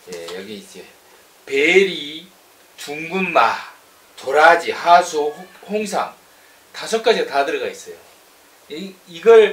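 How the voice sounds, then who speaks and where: Here a man speaks at a very slow pace in a high pitch. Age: 40s. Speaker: online news channel host. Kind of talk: product review. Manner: animated. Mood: playful, joking. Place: office. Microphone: camera far.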